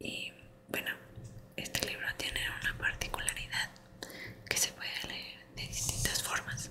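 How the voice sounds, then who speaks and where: The speaker is whispering at a fairly slow pace. Noticeable background noise can be heard. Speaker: ASMR creator. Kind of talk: casual ASMR introduction. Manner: soft-spoken.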